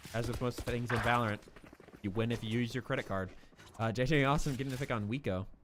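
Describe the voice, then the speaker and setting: Here a man talks very fast in an American accent. His tone is animated and his pitch medium. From Missouri. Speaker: esports commentator. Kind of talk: live commentary.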